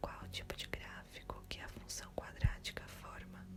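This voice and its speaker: A woman whispering at a very slow pace. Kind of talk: ASMR study-memorization video to help sleep. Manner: soft-spoken and whispered, with mouth sounds.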